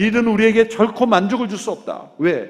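Here a man talks at a moderate pace. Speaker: pastor. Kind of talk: sermon.

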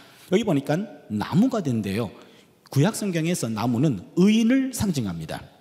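Audible room echo surrounds speech at a moderate pace with very wide pitch swings. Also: man, fairly high pitch for a man. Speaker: Old Testament professor preaching. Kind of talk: sermon.

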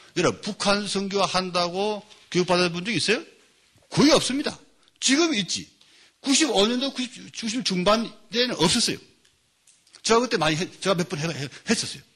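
Using a bright, sharp tone, a man with a high pitch speaks at a moderate pace with lively intonation and long, frequent pauses. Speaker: pastor and lecturer on North Korea mission. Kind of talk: lecture. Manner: animated.

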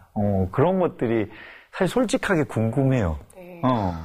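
A man speaks at a medium pitch with very wide pitch swings. Music plays in the background. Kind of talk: casual interview. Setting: studio.

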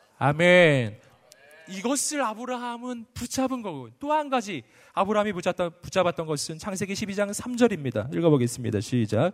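Animated and high-pitched, a man speaks at a moderate pace with very wide pitch swings. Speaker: pastor. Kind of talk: sermon. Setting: stage with audience.

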